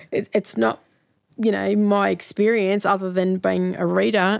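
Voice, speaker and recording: A woman with an Australian accent talks against a quiet background. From Sydney, Australia. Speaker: author. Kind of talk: interview.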